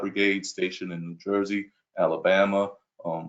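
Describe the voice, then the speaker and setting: The man talks with a New York accent. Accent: New York accent, noticeable. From Brooklyn, New York. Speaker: police chief candidate. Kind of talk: job interview answers at virtual town hall. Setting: video call.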